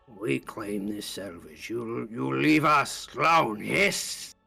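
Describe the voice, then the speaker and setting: A man's raspy, put-on character voice, fairly low in pitch, at a very slow pace over faint music in the background. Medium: actual play. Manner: curt broken common speech.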